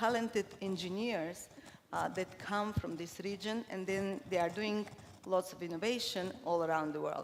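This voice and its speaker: This woman has a medium pitch and speaks with a Bulgarian accent. Her pace is moderate. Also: ordinary pitch variation. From Cuba and Bulgaria. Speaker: corporate marketing leader. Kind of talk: conference talk. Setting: stage with audience. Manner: hesitant, many fillers.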